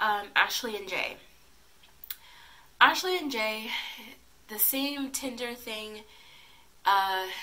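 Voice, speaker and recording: Noticeable background noise accompanies a woman speaking at a very slow pace. Her fairly high pitch makes very wide swings. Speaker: YouTube TV recap vlogger. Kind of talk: casual TV recap. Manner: hesitant, many filler ums.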